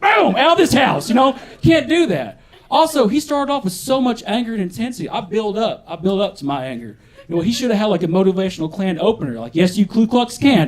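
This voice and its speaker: A man's extremely high voice with a Southern US accent and very wide pitch swings, over noticeable background noise. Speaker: stand-up comedian. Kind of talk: live stand-up comedy set.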